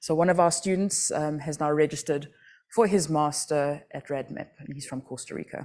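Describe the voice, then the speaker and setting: With a South African accent and a dark, mellow tone, a woman talks at a fairly quick pace in a very clean recording with a silent background. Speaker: astronomy outreach project director. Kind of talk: conference talk. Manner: conversational, many fillers.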